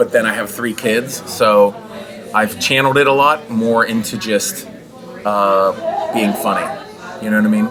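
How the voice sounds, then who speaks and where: With an American accent and a medium pitch, a man speaks at a fairly slow pace with ordinary pitch variation and long, frequent pauses, amid audible room echo and crowd noise in the background. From Pittsburgh, Pennsylvania. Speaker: stand-up comedian. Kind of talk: interview. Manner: loud and manic; energetic.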